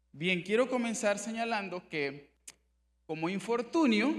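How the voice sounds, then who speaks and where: The speaker is a man. He talks at a moderate pace. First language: Miskito (speaking Spanish). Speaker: human rights official. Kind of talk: conference presentation. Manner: formal.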